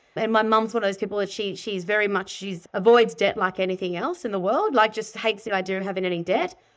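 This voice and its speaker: A woman speaks very fast with an Australian accent, leaving hardly any pauses. Her intonation stays fairly even. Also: medium pitch for a woman. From Sydney, Australia. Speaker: buyer's agent and property educator. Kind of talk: interview.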